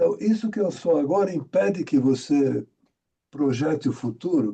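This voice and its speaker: His pitch swinging very widely, a man speaks somewhat breathily at a moderate pace. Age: 80s+. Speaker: participant in study group, director and practitioner. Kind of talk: casual discussion in online study group.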